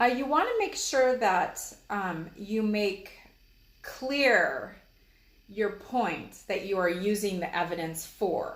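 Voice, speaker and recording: The speaker talks at a very slow pace in an American accent. Room echo is audible. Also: woman, medium pitch for a woman, ordinary pitch variation. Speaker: college instructor. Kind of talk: lecture. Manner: hesitant, many fillers.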